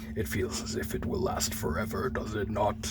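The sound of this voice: A put-on character voice at a fairly quick pace over loud background noise. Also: man.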